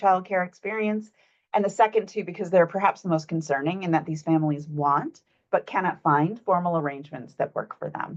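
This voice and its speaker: A woman speaks at a fairly quick pace in a medium pitch. Her pitch varies in an ordinary way. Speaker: researcher presenting findings. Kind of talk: presentation of research findings. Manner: fast.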